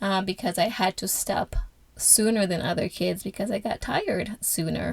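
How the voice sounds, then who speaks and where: A woman with a medium pitch speaks at a moderate pace with vocal fry and fairly even intonation. The sound is dry and close, with no echo. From Angola, moved to US at age 11. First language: Portuguese. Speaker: podcast host. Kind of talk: personal testimony. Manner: halting, many filler sounds.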